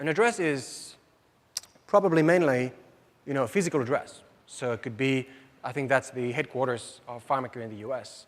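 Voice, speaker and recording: A man with a French accent and lively intonation. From France. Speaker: software system engineer presenter. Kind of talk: conference presentation. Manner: fast.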